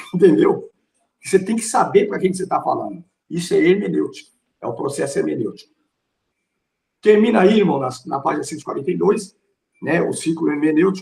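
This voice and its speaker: Long, frequent pauses within a fairly quick pace. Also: man. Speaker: pastor and theology teacher. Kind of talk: lecture. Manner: forceful, strong tone.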